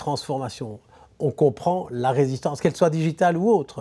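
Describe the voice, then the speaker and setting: This man talks at a fairly quick pace in a fairly high pitch. His tone is dark and mellow, and the recording is very clean with a silent background. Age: 70s. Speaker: business philosopher. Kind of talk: interview. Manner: halting.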